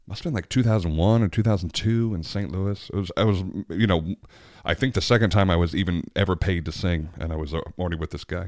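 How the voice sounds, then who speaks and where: A man talks very fast in a very deep, low voice with ordinary pitch variation. The recording is very clean and the background silent. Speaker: podcast host and opera singer.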